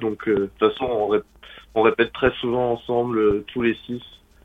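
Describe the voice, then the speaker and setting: A man speaks at a medium pitch. Noticeable background noise is present. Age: 20s. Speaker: rock musician. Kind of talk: interview. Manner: halting.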